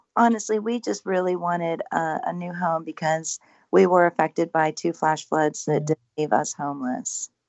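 A woman speaks at a moderate pace with lively intonation. Her pitch is fairly low, and she has a normal speaking voice. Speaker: paranormal house owner. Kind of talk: casual interview chat. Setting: radio call-in, remote.

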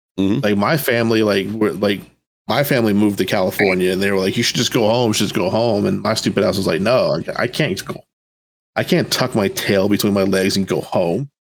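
Fairly low in pitch, a man talks at a fairly quick pace with ordinary pitch variation in an unremarkable speaking voice. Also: very even loudness. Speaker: Air Force veteran, podcast co-host. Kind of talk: casual chat.

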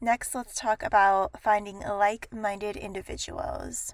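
On a very clean recording with a silent background, a woman with a plain, everyday voice speaks at a fairly high pitch and a fairly slow pace. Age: 20s. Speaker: podcast host, accountant. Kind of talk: solo advice podcast.

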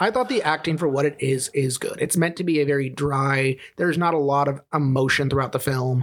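A man's fairly high-pitched, fairly quick delivery in a normal speaking voice, with fairly even intonation and very even loudness. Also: hardly any pauses. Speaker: podcast co-host. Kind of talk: casual comedy podcast banter.

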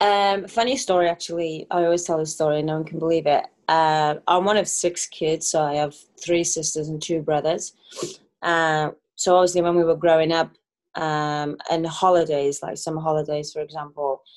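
In a Welsh accent, a woman speaks with a fairly low pitch and fairly even intonation over a quiet background. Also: moderate pace. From Wales. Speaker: professional soccer player. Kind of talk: casual interview.

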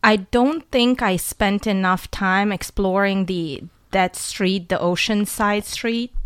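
Her pace is very slow, and a woman's pitch varies in an ordinary way. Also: medium pitch for a woman, very clean recording, silent background. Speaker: returning guest, traveler. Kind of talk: casual chat. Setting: studio.

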